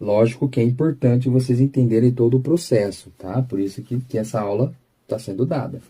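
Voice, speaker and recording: With a somewhat breathy, dark and mellow tone, a man speaks at medium pitch with ordinary pitch variation. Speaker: physics teacher. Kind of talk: lecture. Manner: slow.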